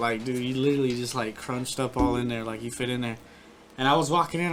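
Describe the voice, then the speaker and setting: Noticeable background noise is present throughout. The words come out very fast. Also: man. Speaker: army veteran. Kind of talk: casual chat. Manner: soft-spoken. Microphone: sounds far from the mic.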